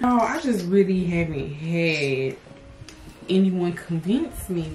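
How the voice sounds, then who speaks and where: Over noticeable background noise, a woman speaks at a very slow pace. Her fairly low voice has lively intonation. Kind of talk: casual conversation.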